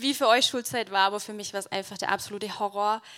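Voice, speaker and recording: This woman's voice sits fairly high, with a bright, sharp tone and ordinary pitch variation. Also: very clean recording, silent background. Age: 20s. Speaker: church keyboardist, theology student. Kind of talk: testimony. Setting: church stage with audience.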